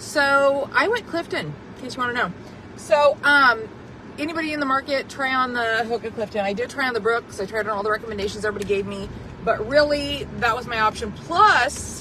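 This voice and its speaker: A woman speaks loudly and fairly quickly in a high pitch with lively intonation. Noticeable background noise runs underneath. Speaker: vlogger. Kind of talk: casual storytelling to camera. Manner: boisterous, chatty.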